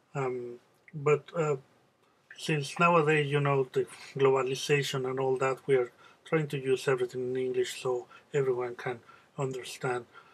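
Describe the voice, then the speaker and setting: Speaking slowly-ish and in a flat monotone, a man with a Spanish accent has a fairly high pitch. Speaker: music teacher. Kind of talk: tutorial. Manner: halting, many fillers.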